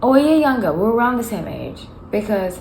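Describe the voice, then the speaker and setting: Delivery is fairly quick with lively intonation. Audible room echo surrounds the voice. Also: woman. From South Africa, Johannesburg. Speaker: tarot reader. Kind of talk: casual chat. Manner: halting.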